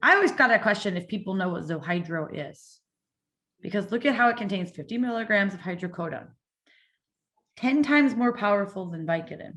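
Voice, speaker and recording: Amid audible room echo, a woman talks at a fairly quick pace with lively intonation, big swings in loudness, and long, frequent pauses. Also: medium pitch for a woman. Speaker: addiction prevention speaker. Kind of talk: conference presentation. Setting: virtual event. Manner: fast.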